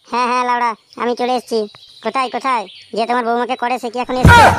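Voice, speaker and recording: A cartoonish character voice delivers its lines at a fairly quick pace in a monotone, flat intonation. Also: woman, high pitch for a woman. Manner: crude, blustering.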